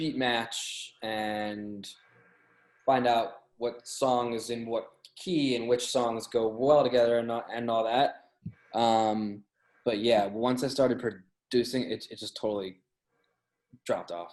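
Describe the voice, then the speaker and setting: Taking long, frequent pauses, a man talks at a very slow pace in a medium-pitched voice with fairly even intonation. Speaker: music editor and DJ. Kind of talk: interview.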